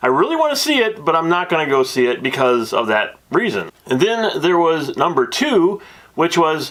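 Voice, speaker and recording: A man's animated tone with lively intonation, at a moderate pace. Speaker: movie reviewer. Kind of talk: movie review. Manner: loud.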